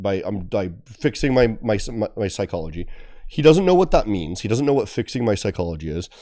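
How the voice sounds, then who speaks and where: Using a put-on character voice, a man speaks raspy and fairly low-pitched at a fairly quick pace with lively intonation. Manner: passionate.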